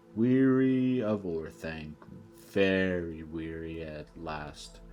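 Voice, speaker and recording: Over clear background music, a man puts on a character voice and speaks very slowly. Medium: read story. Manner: slow, deliberate, with humming pauses.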